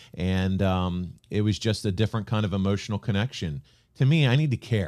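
In a very clean recording with a silent background, an ordinary speaking voice with an American accent carries ordinary pitch variation. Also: man. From Pennsylvania, Reading area. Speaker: podcast host and producer. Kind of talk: casual interview.

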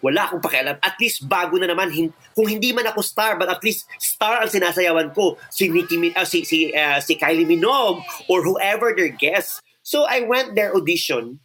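A man talks in a raised, projected voice at a fairly quick pace, with hardly any pauses. His pitch is high, his intonation is lively, and music plays in the background. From Philippines, Iloilo City. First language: Filipino. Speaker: choreographer. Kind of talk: interview storytelling, Taglish. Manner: animated.

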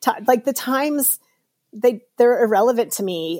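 A woman's dark, mellow tone at a fairly slow pace. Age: 50s. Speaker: professional triathlete and race announcer. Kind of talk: interview. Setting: video call.

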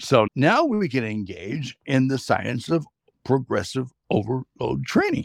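A man's medium-pitched voice with vocal fry, a fairly slow pace and lively intonation, in a dry, close sound with no echo. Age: 60s. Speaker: professional trumpeter and trainer. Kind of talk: casual interview chat.

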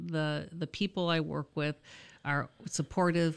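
A woman with an American accent, an unremarkable speaking voice, fairly low pitch, and a moderate pace. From Michigan. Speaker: college dean. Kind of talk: casual interview.

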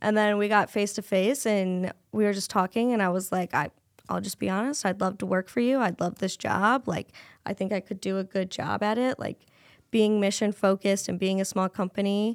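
Recorded very cleanly with a silent background and a dry, close sound without echo, a voice in a Midwestern American accent speaks at a fairly quick pace with fairly even intonation. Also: woman, medium pitch for a woman. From Iowa, Cedar Rapids. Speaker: business development coordinator. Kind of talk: casual interview chat.

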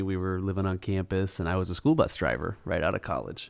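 A man's fairly low voice, an ordinary speaking voice, at a fairly quick pace with an American accent. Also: very clean recording, silent background. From Minnesota, Twin Cities southwest metro. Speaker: adoptive father and school operations business owner. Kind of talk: casual interview.

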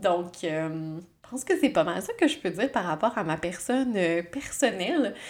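Very wide pitch swings in the voice of a woman. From Quebec, Abitibi-Témiscamingue. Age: 30s. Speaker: psychologist and podcast host. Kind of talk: casual solo monologue. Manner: hesitant, many fillers.

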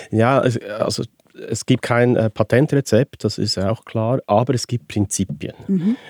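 A man with a medium pitch talks at a very slow pace with ordinary pitch variation. The sound is dry and close, with no echo. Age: 60s. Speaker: participation consultant. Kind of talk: interview.

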